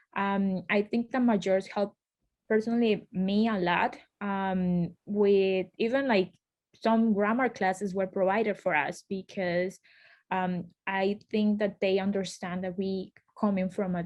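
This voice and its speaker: A woman speaks in a Colombian accent. Her pace is fairly slow. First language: Spanish. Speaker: law school alumna, lawyer. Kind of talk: panel interview. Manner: hesitant, many fillers.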